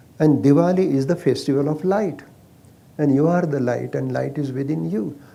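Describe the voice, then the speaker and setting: In a Marathi accent, a man talks in a fairly high pitch with fairly even intonation. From India, Maharashtra. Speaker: Ayurveda physician. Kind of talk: casual chat.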